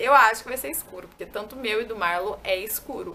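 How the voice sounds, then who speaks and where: The tone is bright and sharp, with light background noise. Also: woman. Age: 20s. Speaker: YouTuber. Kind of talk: casual vlog talk to camera. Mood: relaxed, cheerful. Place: home room. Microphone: camera far.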